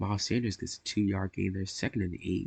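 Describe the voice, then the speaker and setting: A man speaks in a fairly low, somewhat breathy voice. The sound is dry and close with no echo, against a quiet background. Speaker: gaming YouTuber. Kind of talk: gameplay play-by-play commentary.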